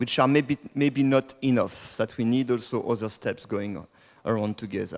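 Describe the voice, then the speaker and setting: A man with a French accent speaks at a medium pitch. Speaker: degrowth activist and speaker. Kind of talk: conference talk.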